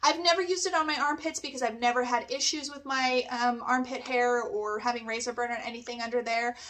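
A high-pitched woman talks at a very fast pace with hardly any pauses. Her pitch varies in an ordinary way. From Canada. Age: 40s. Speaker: nail technician; beauty product reviewer. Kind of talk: product review. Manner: animated. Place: home room.

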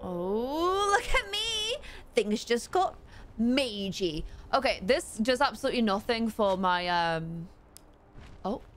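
A woman's fairly high voice at a very slow pace, with very wide pitch swings, long, frequent pauses and light background noise. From UK. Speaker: gaming streamer. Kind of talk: live gameplay commentary. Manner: animated. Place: home room.

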